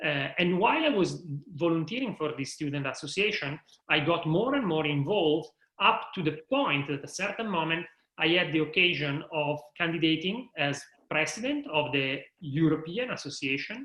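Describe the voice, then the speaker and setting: Fairly high male voice in an Italian accent, at a moderate pace with ordinary pitch variation. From Italy, Milan. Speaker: higher education manager. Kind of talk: interview.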